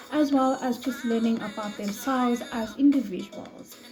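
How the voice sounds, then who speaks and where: With music in the background, a high-pitched woman talks at a moderate pace and ordinary pitch variation. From South Africa, Johannesburg. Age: 20s. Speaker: ESL teacher. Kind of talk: self-introduction video. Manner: hesitant, many fillers.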